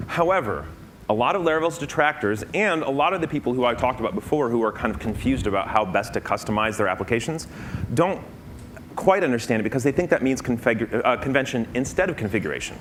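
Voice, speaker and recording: Over noticeable background noise, the speaker races along at a very fast pace with very wide pitch swings. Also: man, medium pitch for a man. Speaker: conference speaker. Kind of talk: conference talk.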